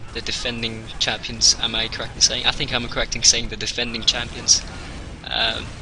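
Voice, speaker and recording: A man talking at a moderate pace amid noticeable background noise. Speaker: esports caster. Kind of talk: live esports commentary. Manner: halting, filler-heavy, restarts phrases; measured, analytical.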